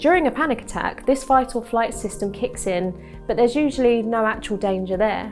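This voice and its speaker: The speaker uses lively intonation, with music in the background. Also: woman. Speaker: cognitive behavioural therapist. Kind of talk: health explainer to camera. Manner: calm, reassuring.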